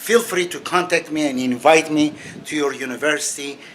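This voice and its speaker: Over noticeable background noise, a man with a non-native accent talks at a fairly slow pace in a fairly high pitch. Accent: foreign accent, non-native English. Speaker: religious author and critic. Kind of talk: monologue video commentary. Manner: halting, with many fillers.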